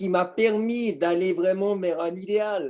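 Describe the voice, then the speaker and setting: Pitched high for a man, this man's voice has a dark, mellow tone and ordinary pitch variation. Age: 60s. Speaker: business owner giving testimony. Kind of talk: testimony.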